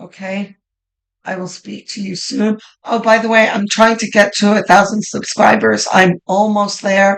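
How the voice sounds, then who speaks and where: A woman speaks at a medium pitch with monotone, flat intonation and big swings in loudness. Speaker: tarot reader. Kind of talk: tarot reading monologue. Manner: casual, with many fillers.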